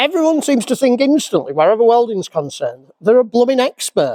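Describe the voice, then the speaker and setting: An animated man with a Yorkshire accent, extremely high in pitch, lively in intonation, at a moderate pace, in a dry, close recording with no echo. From Yorkshire, England. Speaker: classic car restorer. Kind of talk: casual vlog rant. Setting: workshop. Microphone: crackling microphone.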